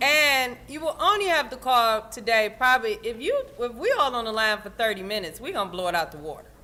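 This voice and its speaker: A loud, high-pitched woman at a moderate pace, with very wide pitch swings and noticeable background noise. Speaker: union event organizer. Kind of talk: instructions to volunteers at an event. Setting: union hall with audience.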